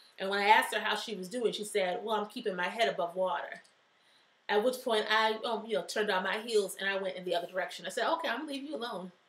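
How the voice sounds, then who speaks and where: A woman talks at a very fast pace with ordinary pitch variation. Noticeable background noise runs under her voice. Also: medium pitch for a woman. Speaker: life strategist and motivational show host. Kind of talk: motivational talk show monologue. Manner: loud.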